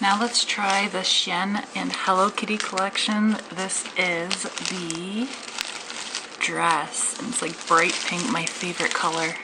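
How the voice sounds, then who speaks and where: A woman speaks very slowly at a medium pitch with ordinary pitch variation, over noticeable background noise and audible room echo. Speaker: fashion haul vlogger. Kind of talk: casual try-on haul. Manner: quiet.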